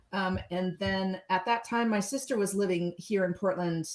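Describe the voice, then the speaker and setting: Noticeable background noise sits behind a woman speaking at a moderate pace with a General American accent. Her pitch varies in an ordinary way. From Southern California. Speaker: musician. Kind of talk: casual chat. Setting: livestream video call.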